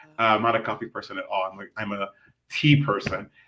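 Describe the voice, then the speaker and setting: A man with an American accent speaks at a fairly quick pace in a bright, sharp, animated tone. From US West Coast, Los Angeles. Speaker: community activist and expat. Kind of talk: podcast interview. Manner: fast.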